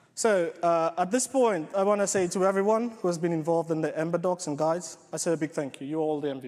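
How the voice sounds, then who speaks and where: Over crowd noise in the background, a high-pitched man rattles along at a very fast pace with hardly any pauses and ordinary pitch variation. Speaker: software developer and coding bootcamp organiser. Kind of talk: conference talk.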